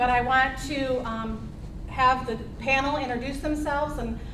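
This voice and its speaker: Loud and high-pitched, a woman speaks with audible room echo and noticeable background noise. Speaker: healthcare advocate trainer and forum moderator. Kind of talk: public forum presentation. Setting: meeting room with audience and microphones.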